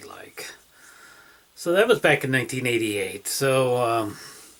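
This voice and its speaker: Noticeable background noise sits behind a man talking at a fairly slow pace. His pitch varies in an ordinary way. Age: 50s. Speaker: vlogger with restless leg syndrome. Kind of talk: casual vlog monologue. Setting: self-filmed handheld camera at home. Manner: halting, many fillers.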